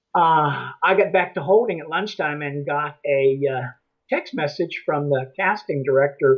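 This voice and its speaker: This man talks at a fairly slow pace. His pitch is fairly high, with ordinary variation. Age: 60s. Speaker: actor. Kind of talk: interview. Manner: halting.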